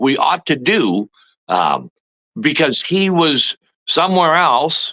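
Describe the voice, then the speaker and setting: A man speaks at a fairly slow pace with a Canadian accent, his pitch swinging very widely and his voice showing vocal fry. The tone is bright and sharp, and the sound is dry and close with no echo. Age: 60s. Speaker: former provincial politician. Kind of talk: interview. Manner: halting, many fillers.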